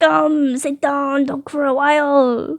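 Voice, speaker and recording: The speaker uses a put-on character voice at a high pitch. The pace is fairly slow. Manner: welcoming, inviting.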